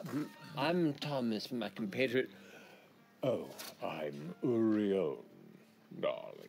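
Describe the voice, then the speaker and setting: Using a put-on character voice at a medium pitch, a man speaks very slowly with long, frequent pauses over music in the background. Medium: actual play. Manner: affected, grandiloquent.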